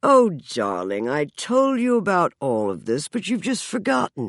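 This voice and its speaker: A woman puts on a character voice, very deep and low, with very wide pitch swings at a moderate pace. The sound is dry and close with no echo. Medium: read story. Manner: gracious, genteel.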